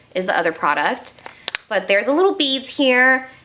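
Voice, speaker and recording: Speaking fairly quickly with an American accent, a woman swings her pitch very widely while noticeable background noise runs underneath. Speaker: beauty youtuber. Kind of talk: casual makeup declutter video. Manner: animated.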